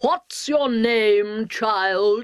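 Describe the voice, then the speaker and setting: A woman shouts loudly in a put-on character voice, shrill and fairly high-pitched with ordinary pitch variation. The sound is dry and close, with no echo. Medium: read story. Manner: imperious, screaming.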